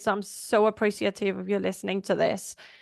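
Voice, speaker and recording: Vocal fry runs through the voice at a moderate pace. The sound is dry and close with no echo, over a quiet background. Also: woman. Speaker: veterinarian and life coach podcast host. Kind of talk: podcast monologue. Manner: words run together.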